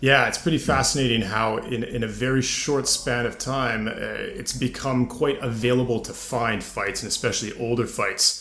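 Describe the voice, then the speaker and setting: There is audible room echo and noticeable background noise. A man with a Canadian accent talks at a moderate pace and medium pitch, with fairly even intonation. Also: hardly any pauses. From Canada, with ten teen years in France. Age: 30s. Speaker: podcast host. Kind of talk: casual interview chat.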